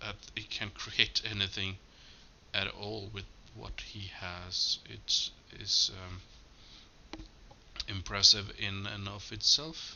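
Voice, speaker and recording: Amid noticeable background noise, a man mumbles at a very slow pace. His speech has long, frequent pauses. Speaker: movie commentary YouTuber. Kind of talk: casual commentary track. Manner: mumbling; halting.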